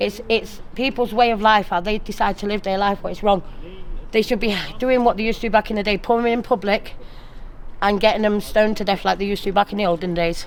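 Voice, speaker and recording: A woman with a South Yorkshire accent speaks at a very fast pace, her medium pitch carrying fairly even intonation. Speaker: local resident. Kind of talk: street interview.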